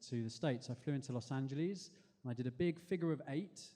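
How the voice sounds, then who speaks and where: A man with an English accent talks at a fairly quick pace, his fairly high pitch carrying a dark, mellow tone and ordinary pitch variation. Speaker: spoken word performer. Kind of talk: storytelling performance. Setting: stage with audience.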